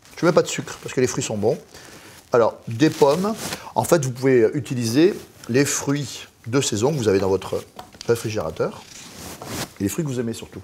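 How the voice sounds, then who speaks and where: Over noticeable background noise, a man talks at a moderate pace and medium pitch, with lively intonation and long, frequent pauses. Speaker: chef. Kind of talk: cooking tutorial. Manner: animated.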